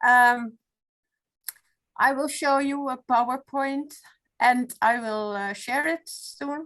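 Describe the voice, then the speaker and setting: In a Dutch accent, a woman with a high pitch and ordinary pitch variation talks at a very slow pace with long, frequent pauses. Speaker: retired law professor, foundation president. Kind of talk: webinar presentation. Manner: halting.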